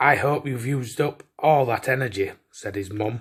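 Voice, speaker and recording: In a Yorkshire accent, a man speaks with lively intonation and a bright, sharp tone on a very clean recording with a silent background. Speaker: storyteller. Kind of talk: children's bedtime story reading.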